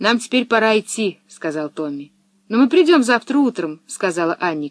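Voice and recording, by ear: Here is reading aloud in a natural voice. Nothing much is heard behind it.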